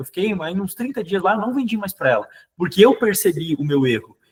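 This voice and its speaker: A man talks with a southern Brazilian accent. His pitch swings very widely. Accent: southern Brazilian (gaúcho) Portuguese. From southern Brazil, Rio Grande do Sul. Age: young. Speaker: sales manager and trainer. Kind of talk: sales training talk. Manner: fast; hesitant, many repetitions.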